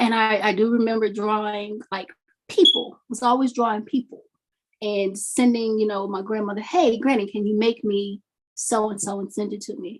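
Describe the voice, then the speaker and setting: A woman with an American accent uses a plain, everyday voice at a fairly high pitch and moderate pace, her intonation fairly even but her loudness swinging widely. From US South, Mississippi. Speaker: doll maker, fiber artist. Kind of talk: interview.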